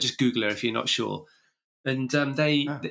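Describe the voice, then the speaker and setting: A man's fairly high, bright, sharp voice with an English accent. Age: 50s. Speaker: running coach and podcast host. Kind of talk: interview conversation. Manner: halting.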